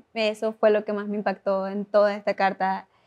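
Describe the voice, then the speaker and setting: A woman at a fairly slow pace with monotone, flat intonation against a quiet background. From Venezuela. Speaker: Bible study guest. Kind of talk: Bible study conversation.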